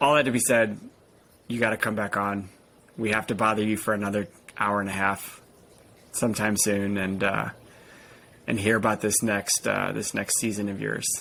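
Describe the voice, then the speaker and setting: A bright, sharp voice with an American accent, flat monotone delivery at a moderate pace, and long, frequent pauses. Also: man, fairly low pitch for a man. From United States. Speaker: podcast host. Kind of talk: podcast interview.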